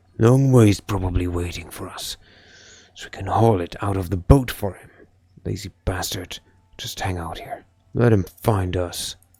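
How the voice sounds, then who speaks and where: In a put-on character voice, a man sounds gruff and very deep, speaking at a moderate pace with long, frequent pauses. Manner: irritated, complaining.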